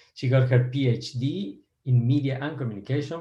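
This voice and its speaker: A man of medium pitch talks at a moderate pace in a somewhat breathy voice. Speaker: podcast host and professor. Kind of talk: interview.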